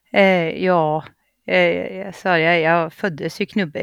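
A woman speaks in a flat, monotone way at a fairly low pitch. The background is quiet. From Gävleborg, Sweden. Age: 30s. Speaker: reality TV contestant. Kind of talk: casual chat.

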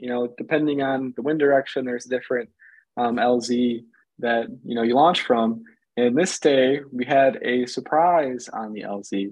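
A man with an American accent speaks at a fairly slow pace in a plain, everyday voice, his medium pitch carried by fairly even intonation. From Michigan. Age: 20s. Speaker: paramotor pilot. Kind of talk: casual chat.

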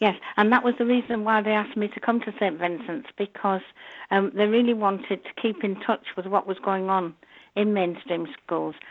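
Speaking with a Yorkshire accent, a woman talks at a moderate pace and medium pitch with ordinary pitch variation. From northern England, North Yorkshire. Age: 70s. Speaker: nun and Braille teacher. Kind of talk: interview.

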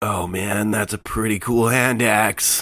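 A man puts on a raspy character voice at a fairly low pitch. He talks at a fairly slow pace.

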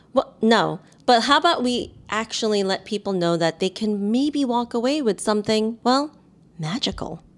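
A woman with an American accent, an ordinary speaking voice and a fairly high pitch talks at a moderate pace. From New York City. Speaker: podcast co-host, marketer and entertainer. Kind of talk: casual chat.

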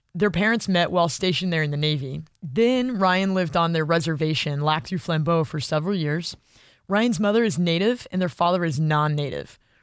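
A woman speaks in a plain, everyday voice at a fairly quick pace, with fairly low pitch and ordinary pitch variation. The recording is very clean with a silent background. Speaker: podcast host. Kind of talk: scripted narration with interview.

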